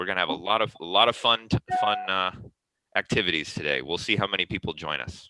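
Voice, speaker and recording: A man talks at a very fast pace in a very deep, low voice. His pitch varies in an ordinary way, with vocal fry. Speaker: online dispute resolution forum host. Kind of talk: casual chat.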